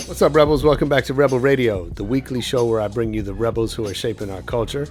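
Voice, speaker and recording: Very fast speech with ordinary pitch variation over music in the background. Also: man, medium pitch for a man. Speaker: podcast host. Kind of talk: podcast intro.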